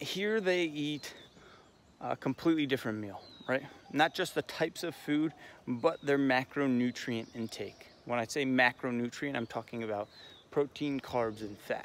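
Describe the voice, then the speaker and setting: This man has an American accent and ordinary pitch variation. He speaks at a moderate pace. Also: medium pitch for a man. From USA. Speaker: fitness vlogger. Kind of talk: casual vlog monologue. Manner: quiet, subdued.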